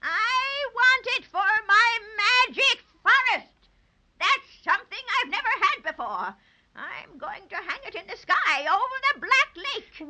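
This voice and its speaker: Using a put-on character voice, a female-sounding speaker talks at an extremely high pitch and a fairly slow pace, with long, frequent pauses. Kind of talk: 1930s radio acting. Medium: old radio play. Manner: cackling, gloating.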